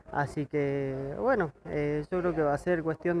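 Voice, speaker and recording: At a fairly slow pace, a man talks while noticeable background noise carries on around him. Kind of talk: interview answer. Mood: pleased, calm. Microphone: handheld.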